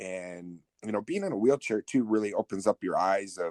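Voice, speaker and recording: An ordinary speaking voice from a man, fairly low in pitch, with a moderate pace, fairly even intonation and dry, close sound with no echo. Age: 50s; 50. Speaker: podcast guest. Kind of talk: casual interview.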